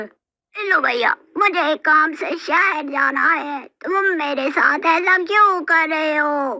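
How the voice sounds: A cartoonish character voice at a high pitch speaks at a fairly slow pace.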